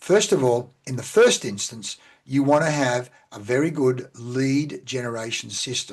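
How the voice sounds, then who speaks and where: A man with an Australian accent at a medium pitch, a fairly slow pace and ordinary pitch variation. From Australia, central Victoria. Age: 60s. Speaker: business coach. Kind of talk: podcast interview.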